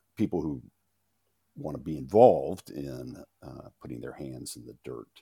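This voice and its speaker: Recorded with a dry, close sound and no echo, the voice has a dark, mellow tone, vocal fry, lively intonation and a fairly slow pace. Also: man. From Louisiana. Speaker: farmer and author. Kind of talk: interview.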